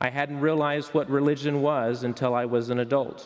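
A man keeps a moderate pace, with a quiet background behind him. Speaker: pastor. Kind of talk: sermon. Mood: warm, celebratory. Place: church. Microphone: headset.

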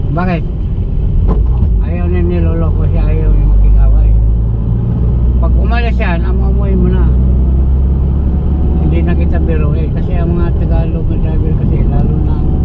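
Against loud background noise, a man talks at a moderate pace with long, frequent pauses. The sound is dry with no echo. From Cebu, Philippines. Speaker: taxi driver. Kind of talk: interview answer. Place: car. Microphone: phone near.

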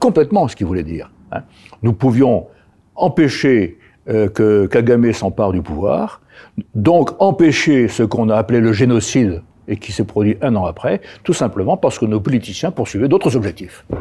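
With a dark, mellow tone and very wide pitch swings, a man speaks at a moderate pace. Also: medium pitch for a man. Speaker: retired army general; interview guest. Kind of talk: interview. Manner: halting, frequent repetitions. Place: studio. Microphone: lapel.

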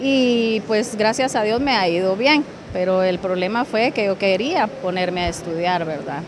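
A woman talks with ordinary pitch variation. Noticeable background noise sits behind her. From Guatemala, Escuintla. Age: 40s. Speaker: job seeker. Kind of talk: interview. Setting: job fair. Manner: halting.

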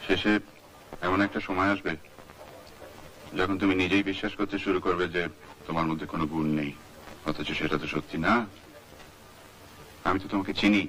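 Against light background noise, a man talks in a very deep, low voice with fairly even intonation. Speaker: film director. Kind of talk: film dialogue dub. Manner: natural, own normal voice. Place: studio. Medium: dub.

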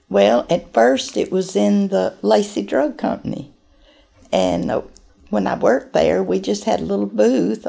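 A fairly slow pace marks this voice with a Southern US accent. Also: woman. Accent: Southern US (Georgia). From US South, Acworth, Georgia; Georgia. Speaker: oral history interviewee; interviewee. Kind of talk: interview. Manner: halting. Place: office.

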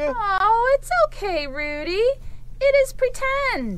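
A cartoonish character voice, female-sounding and extremely high, at a very slow pace over clear background noise. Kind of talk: children's puppet show.

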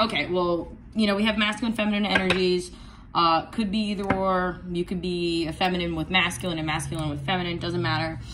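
At a fairly quick pace, the speaker keeps a fairly even intonation over noticeable background noise. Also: woman, fairly low pitch for a woman. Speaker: tarot reader. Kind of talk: tarot reading. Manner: casual, chatty with many fillers. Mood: warm, chatty. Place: home room. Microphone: phone near.

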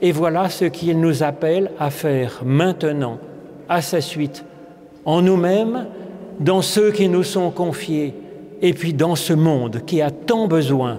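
This man talks very slowly, his voice pitched high and moving through an ordinary range. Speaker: preacher. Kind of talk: sermon. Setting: church. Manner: calm, warm and didactic, explaining the parable at an unhurried pace; gently earnest, reflective and pastoral. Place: church. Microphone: podium.

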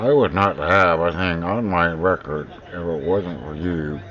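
A man with an American accent talks with ordinary pitch variation amid noticeable background noise. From US Pacific Northwest. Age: 50s. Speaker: video blogger. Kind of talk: personal video monologue. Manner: halting.

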